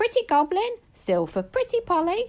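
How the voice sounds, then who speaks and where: A woman's put-on character voice, squeaky and shrill, at an extremely high pitch and a moderate pace. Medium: read story. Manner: coaxing, honeyed salesmanship.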